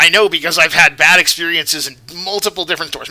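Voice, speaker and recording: This man talks at a very fast pace in a high pitch. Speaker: YouTube commentator. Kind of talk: opinion commentary.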